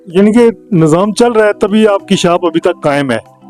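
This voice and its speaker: Over music in the background, a man speaks with ordinary pitch variation in a dry, close sound with no echo. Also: very even loudness. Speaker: vlogger, interviewer. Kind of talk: interview question.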